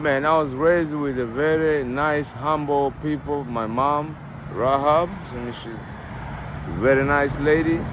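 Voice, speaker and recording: A man with a fairly high pitch speaks very slowly with fairly even intonation, amid noticeable background noise and audible room echo. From Tanzania. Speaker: interviewee sharing addiction story. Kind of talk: street interview.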